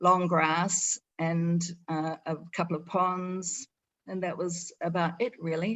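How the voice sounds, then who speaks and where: A woman speaks in a New Zealand accent at a fairly low pitch. Her intonation is monotone and flat. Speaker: eco resort owner. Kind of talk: presentation. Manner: halting, many fillers.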